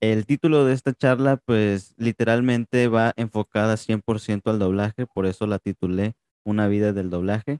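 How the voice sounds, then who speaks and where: A man with a plain, everyday voice speaks at a moderate pace and a fairly low pitch, with fairly even intonation and a dry, close sound with no echo. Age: 20s. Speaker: podcast host. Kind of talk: interview.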